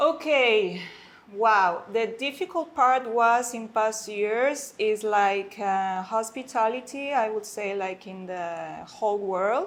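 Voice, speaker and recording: The speaker talks at a very slow pace in a Spanish accent, with ordinary pitch variation and big swings in loudness. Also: woman, fairly high pitch for a woman. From Mexico City. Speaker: concierge and guest services manager. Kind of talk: casual interview. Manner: halting, many fillers.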